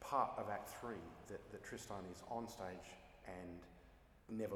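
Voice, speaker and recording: This is a man's voice. He speaks with an Australian accent. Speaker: opera singer. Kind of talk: interview answer.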